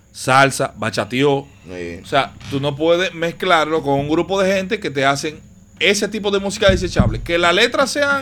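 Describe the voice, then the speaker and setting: A man with a Dominican Cibao accent talks at a moderate pace in a high pitch, his tone bright and sharp and his intonation lively. The recording is very clean, with a silent background. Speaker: podcast host. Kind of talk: casual chat.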